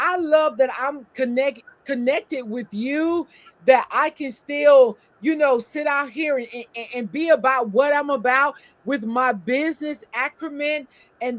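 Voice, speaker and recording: Speaking at a fairly slow pace, a woman with a high pitch shows big swings in loudness. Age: 60s. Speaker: podcast co-host. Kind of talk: casual chat. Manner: animated; halting.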